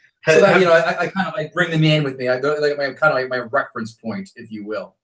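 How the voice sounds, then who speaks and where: A loud man rattles along at a very fast pace in a fairly high pitch. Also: ordinary pitch variation. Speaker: stand-up comedian. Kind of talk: casual interview.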